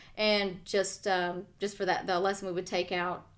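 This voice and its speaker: A woman with a slight Southern US accent talks at a fairly quick pace and a medium pitch. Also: very clean recording, silent background. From US South. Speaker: podcast co-host and author. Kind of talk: casual chat. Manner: halting, many fillers.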